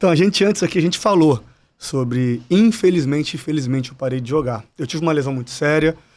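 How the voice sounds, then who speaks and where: Fairly high in pitch, a man races along at a very fast pace with lively intonation. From Brazil, interior of Espírito Santo (Cachoeiro de Itapemirim). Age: 30s. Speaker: retired footballer turned football agent. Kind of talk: podcast interview.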